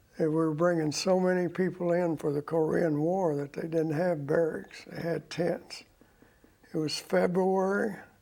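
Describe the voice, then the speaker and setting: Speaking with an American accent, a man uses a high pitch and a dark, mellow tone, his intonation monotone and flat. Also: fairly slow pace. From Oklahoma and Texas. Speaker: war veteran. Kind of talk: interview.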